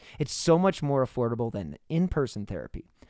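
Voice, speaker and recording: A man's voice at a moderate pace with very wide pitch swings, in a very clean recording with a silent background. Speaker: true crime podcast host. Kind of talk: podcast interview. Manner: casual, rambling.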